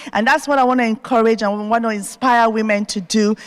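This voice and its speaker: A woman speaks with an African accent. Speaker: TV host and entrepreneur. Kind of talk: keynote speech. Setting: stage with audience at university.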